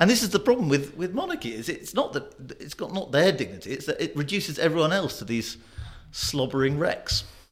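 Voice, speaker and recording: A man speaks in a British accent at a fairly quick pace. His high voice shows very wide pitch swings. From Britain. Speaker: magazine journalist. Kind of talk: panel discussion.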